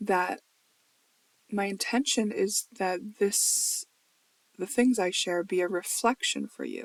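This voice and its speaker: Very slowly, a woman mumbles her words in a dry, close recording with no echo. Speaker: spiritual video blogger, tarot reader. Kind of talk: casual monologue video journal. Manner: mumbling, trailing off words; rambling.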